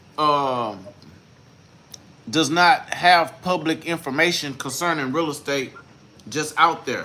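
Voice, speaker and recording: Speaking at a very slow pace with long, frequent pauses, a man uses a fairly high pitch with ordinary variation. Noticeable background noise is present. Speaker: real estate investor teaching deal analysis. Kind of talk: tutorial. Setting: livestream. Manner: slow, deliberate.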